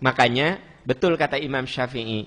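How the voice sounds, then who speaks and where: Here is a man at a medium pitch. His pitch varies in an ordinary way. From West Java (Sundanese). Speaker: Islamic preacher. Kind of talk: sermon with Q&A.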